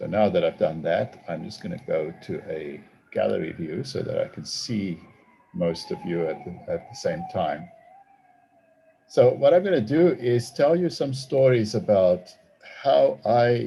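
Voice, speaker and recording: Speaking at a fairly slow pace, a man with a South African accent shows big swings in loudness. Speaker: theology professor and author. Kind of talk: talk to an online audience. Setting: video call. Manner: hesitant, with fillers.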